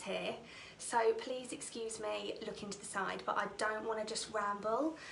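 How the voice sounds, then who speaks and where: In a Norfolk accent, the speech comes at a fairly slow pace. Noticeable background noise and audible room echo fill the recording. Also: woman. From England, Norfolk. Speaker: theatre school owner and direct sales director. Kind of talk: personal testimony talk on a livestream.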